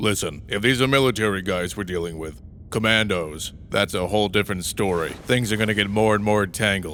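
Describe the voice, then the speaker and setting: A man does a put-on character voice, fairly low in pitch, at a fairly quick pace with hardly any pauses. Clear background noise sits behind him. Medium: fan dub. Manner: gruff, grumbling.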